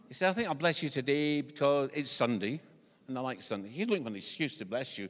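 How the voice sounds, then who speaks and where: A man with a Scottish accent, very fast pace and lively intonation. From Scotland. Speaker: visiting preacher. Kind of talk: sermon. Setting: church. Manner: humorous, conversational.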